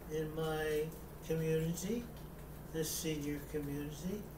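A man speaks at a very slow pace as noticeable background noise carries on in the recording. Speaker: war veteran; amateur theatre performer. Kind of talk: casual talk to camera. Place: home room. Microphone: webcam.

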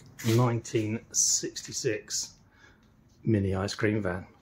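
A man at a very slow pace, fairly low in pitch, with monotone, flat intonation amid noticeable background noise. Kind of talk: casual vlog chat. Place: garage. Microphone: phone near.

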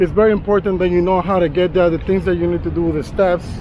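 A man talks at a fairly quick pace in a high voice with fairly even intonation. The sound is dry with no echo, and there is noticeable background noise. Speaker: travel vlogger. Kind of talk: casual vlog chat. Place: street. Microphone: phone near.

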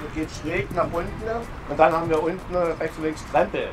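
A man talks at a moderate pace with a high pitch. Music plays in the background. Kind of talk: interview answer. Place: waterside.

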